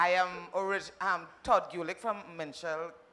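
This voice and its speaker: A woman with a fairly low pitch and a bright, sharp tone. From Trinidad, San Fernando. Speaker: actor and director. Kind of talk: panel discussion.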